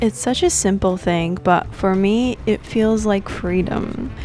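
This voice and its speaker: A woman's calm, fairly slow voice with an American accent, with music in the background. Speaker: travel vlogger. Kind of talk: vlog narration. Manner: calm, slow; mellow.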